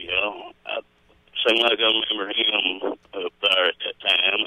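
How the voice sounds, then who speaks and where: A man speaks at a fairly slow pace with an American accent. Noticeable background noise runs under his voice. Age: 60s. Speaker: caller to local radio show. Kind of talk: casual phone chat.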